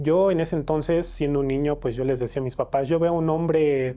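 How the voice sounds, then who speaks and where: A man at a fairly high pitch with a Mexican accent, moderate pace and fairly even intonation. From Mexico, State of Mexico. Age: 20s. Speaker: interviewee sharing paranormal experiences. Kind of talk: testimony. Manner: hesitant, many fillers.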